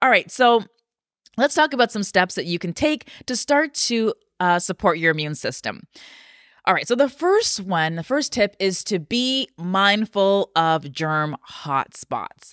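With very wide pitch swings and an animated, energetic tone, a woman of medium pitch speaks at a fairly slow pace, recorded dry and close with no echo, very cleanly, against a silent background. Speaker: podcast host. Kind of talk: casual health talk to listeners. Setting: home office recording.

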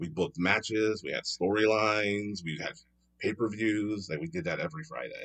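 With an American accent, a man with a fairly low pitch uses a normal speaking voice, lively intonation and a moderate pace. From Philadelphia, Pennsylvania. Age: 40s. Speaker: improv comedian. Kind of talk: casual chat.

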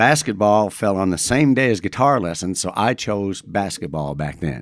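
A man with an American accent speaks fairly slowly in an unremarkable speaking voice, pitched fairly low. His intonation is lively, and the recording is very clean with a silent background. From Madison, Indiana (US Midwest). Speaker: singer-songwriter. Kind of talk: casual interview chat.

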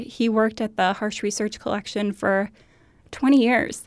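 Speaking at a moderate pace with fairly even intonation, a woman has an ordinary speaking voice and an American accent. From Minnesota, US. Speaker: archivist. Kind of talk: interview.

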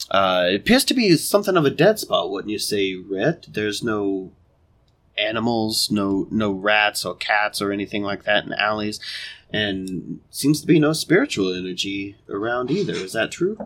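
In a very clean recording with a silent background, a man speaks at a moderate pace, with fairly low pitch and ordinary pitch variation. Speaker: podcast co-host and role-player. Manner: animated, joking.

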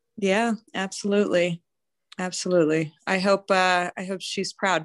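In an American accent, a woman talks at a fairly slow pace and medium pitch with ordinary pitch variation. It is an ordinary speaking voice, dry and close with no echo, over a quiet background. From US, Denver, Colorado. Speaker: nonprofit executive and philanthropist. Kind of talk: casual interview chat.

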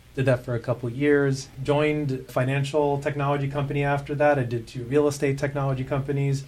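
A man's fairly high voice at a fairly quick pace, monotone and flat, hardly any pauses, with noticeable background noise. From South Africa. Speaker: chief revenue officer. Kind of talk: casual interview.

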